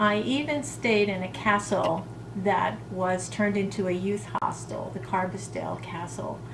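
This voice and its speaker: A woman talks fairly slowly with music in the background. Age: 60s. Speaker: lifestyle vlogger. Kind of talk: casual talk to camera.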